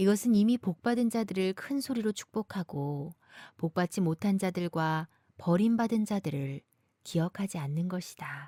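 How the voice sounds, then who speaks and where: A woman speaks at a fairly slow pace in a medium pitch, her tone dark and mellow and somewhat breathy, with lively intonation. The recording is very clean, with a silent background and a dry, close sound that has no echo. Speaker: voice actor.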